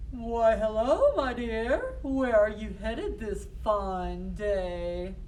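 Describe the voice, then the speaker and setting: A put-on, female-sounding character voice at a very slow pace, with clear background noise. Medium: stage play. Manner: oily, sly, chuckling.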